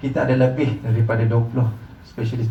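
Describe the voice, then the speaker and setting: Over noticeable background noise and audible room echo, a man with a Malaysian accent speaks at a very fast pace. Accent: Malaysian Malay. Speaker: hospital marketing representative. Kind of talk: presentation to visiting group. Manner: halting, frequent fillers.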